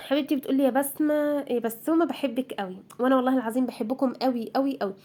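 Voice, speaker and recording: With an Egyptian accent, a woman speaks at a fairly quick pace with high pitch and ordinary pitch variation. Her tone is dark and mellow. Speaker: homemaker vlogger. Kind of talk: casual vlog chat. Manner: chatty, informal.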